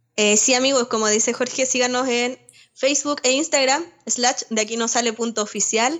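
This woman has a high pitch. She talks at a moderate pace. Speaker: podcast co-host. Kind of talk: casual chat.

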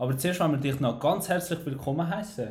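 A man speaks with an Albanian accent and a fairly high pitch. His voice is somewhat breathy, with audible room echo. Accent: Albanian accent in Swiss German. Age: 20s. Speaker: podcast host, civil engineering draftsman. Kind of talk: casual chat.

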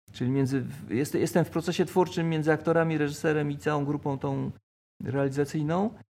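A man talks at a very fast pace with a fairly high pitch. His pitch varies in an ordinary way, and the recording is very clean with a silent background. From Poland, Koszalin (Pomerania coast). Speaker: theatre photographer and photojournalist. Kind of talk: casual interview. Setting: café. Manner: halting, with repetitions.

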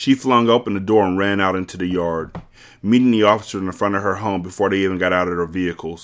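Someone reads aloud in a natural voice.

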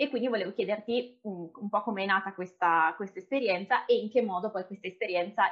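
This woman has a plain, everyday voice with ordinary pitch variation. She speaks at a fairly quick pace. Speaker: podcast host. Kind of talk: interview conversation.

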